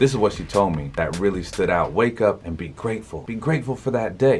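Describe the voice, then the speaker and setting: Music in the background behind a man at a fairly low pitch, with lively intonation and a fairly quick pace. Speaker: motivational speaker. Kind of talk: motivational talk to camera. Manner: casual, conversational.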